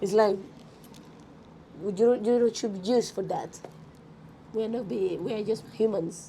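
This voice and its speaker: A woman with a Colombian accent and fairly high pitch, at a fairly slow pace with fairly even intonation and long, frequent pauses. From Colombia, Bogota. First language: Spanish. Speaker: rapper and musician. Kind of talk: interview. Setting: music expo, in person.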